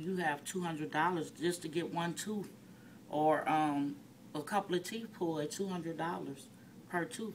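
A woman speaks in an American accent over light background noise. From US Midwest, Detroit, Michigan; Michigan. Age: 40s. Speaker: activist. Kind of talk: personal testimony. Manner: hesitant with frequent fillers. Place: office. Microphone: phone near.

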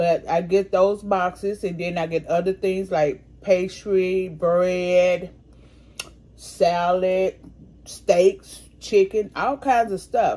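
The woman's intonation stays fairly even. She speaks at a very slow pace. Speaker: food vlogger. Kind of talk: casual mukbang vlog chat. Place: home room. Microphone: phone near.

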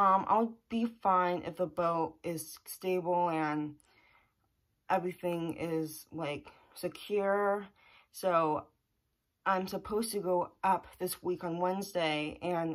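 Against a quiet background, the words come at a very slow pace. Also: woman, fairly low pitch for a woman, fairly even intonation. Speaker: vlogger. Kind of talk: casual vlog chat. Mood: slightly anxious, thoughtful. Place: home room. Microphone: phone near.

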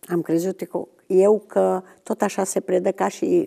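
The background is quiet as a woman talks. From Romania. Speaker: retired biology teacher. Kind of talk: testimony. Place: studio.

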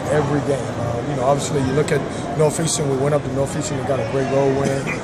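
A man talks at a fairly quick pace while loud background noise fills the clip. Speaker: basketball coach. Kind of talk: interview answer. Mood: calm, pleased after win. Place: hall. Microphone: phone near.

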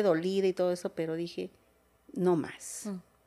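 This woman's voice carries a dark, mellow tone. She keeps a moderate pace. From Zinacantán, Chiapas, Mexico; Chiapas, Mexico. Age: 50s. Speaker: politician; interview guest, local politician. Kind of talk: interview testimony; interview answer. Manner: halting, many fillers. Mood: emotional, reflective. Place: home room. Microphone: studio mic.

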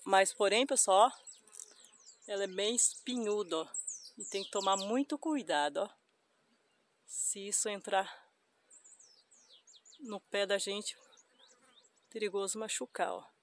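Delivered at a fairly slow pace with long, frequent pauses, the speech has a dry sound with no echo. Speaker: rural vlogger. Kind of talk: casual vlog chat. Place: open country. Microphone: phone near.

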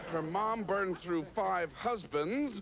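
Someone speaks slowly in a put-on character voice with lively intonation over faint background noise. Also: man, high pitch for a man, fairly bright tone.

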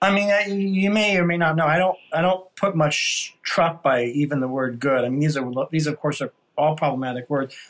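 A man at a fairly high pitch and moderate pace, with ordinary pitch variation, very even loudness, and hardly any pauses. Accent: American. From New York City. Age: 50s. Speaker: podcast host. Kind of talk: casual interview. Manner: halting.

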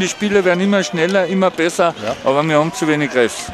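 There is noticeable background noise behind the speaker. A man talks at a fairly quick pace with a high pitch and ordinary pitch variation. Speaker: hockey commentator. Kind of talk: live ice hockey commentary. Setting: stands in the arena, commentary. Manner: animated, excitable, enthusiastic; fast, joking, casual banter.

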